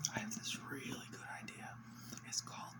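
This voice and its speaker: A whispering man over noticeable background noise. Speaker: ASMR creator. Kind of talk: casual whispered rant to camera. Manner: whispered.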